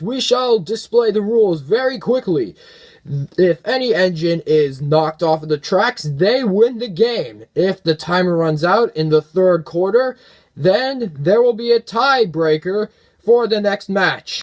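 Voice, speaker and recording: A man puts on a character voice with a high pitch. He talks at a fairly slow pace. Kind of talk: sports arena announcing. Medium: audio drama. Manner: showy.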